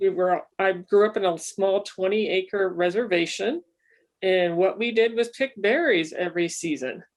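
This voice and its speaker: A woman with an American accent speaks in a plain, everyday voice at medium pitch and a moderate pace, with ordinary pitch variation. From Northern California, Humboldt County. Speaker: panel guest, berry picker. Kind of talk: casual introduction.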